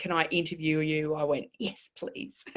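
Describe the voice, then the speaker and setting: Her voice carries an Australian accent. This woman's pitch is fairly low. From northwest Queensland, Australia (childhood from about seven). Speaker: body language expert. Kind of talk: interview. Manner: halting with fillers.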